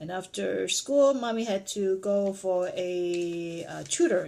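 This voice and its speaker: With a Cantonese accent, a woman talks at a medium pitch with lively intonation. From Vietnam, Chinese community. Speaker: parent. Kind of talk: family interview.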